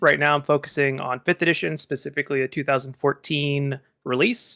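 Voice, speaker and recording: A man's fairly high, bright, sharp voice with a slight Texan accent, at a fairly quick pace, with a dry, close sound and no echo. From Texas. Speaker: game designer and game master. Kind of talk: casual chat.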